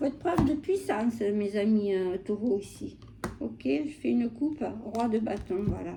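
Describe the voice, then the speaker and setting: Noticeable background noise fills the recording. A woman speaks through it at a fairly slow pace. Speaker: tarot reader. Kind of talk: tarot reading. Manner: hesitant, many fillers.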